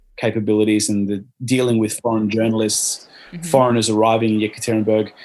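Monotone, flat intonation marks this man's medium-pitched delivery in an Australian accent. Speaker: former sports event volunteer. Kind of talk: casual interview. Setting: online call.

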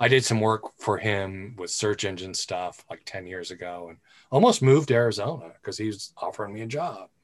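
A man with a plain, everyday voice speaks at a fairly quick pace and a fairly low pitch, with ordinary pitch variation. His loudness swings widely against a quiet background. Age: 50s. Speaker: podcast host. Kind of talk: casual chat.

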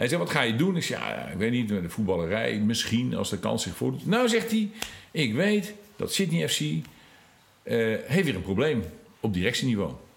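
Audible room echo surrounds the voice. Speech unfolds at a moderate speed. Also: man. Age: 50s. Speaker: former emigrant. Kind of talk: interview. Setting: in person.

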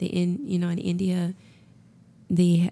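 A woman with an American accent speaks in a fairly low pitch with monotone, flat intonation. Her tone is calm, relaxed, dark and mellow. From Augusta, Georgia, US South. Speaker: massage therapist. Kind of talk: interview chat.

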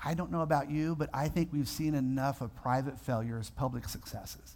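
A man's somewhat breathy voice in an animated tone. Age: 50s. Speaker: pastor. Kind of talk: sermon.

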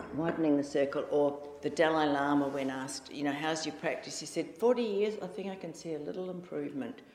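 A woman with a New Zealand accent talks at a fairly quick pace, her very deep, low pitch showing ordinary variation. Background noise is noticeable. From New Zealand (Auckland). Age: 60s. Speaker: Zen practitioner and writer. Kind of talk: dharma talk. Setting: meditation hall with audience. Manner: informal, chatty.

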